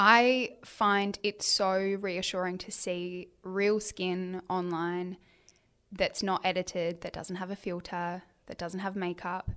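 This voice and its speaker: A woman with an Australian accent speaks very slowly at a medium pitch, her bright, sharp tone held in a flat monotone while her loudness swings widely. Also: very clean recording, silent background. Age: 30s. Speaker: author and influencer. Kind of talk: casual interview chat.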